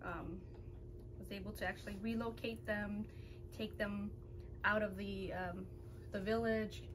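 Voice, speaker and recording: An American accent at a fairly slow pace, with long, frequent pauses and noticeable background noise. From Laotian American, raised in the US. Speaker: video creator hosting a family mukbang. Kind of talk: casual mukbang chat and interview setup. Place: home room.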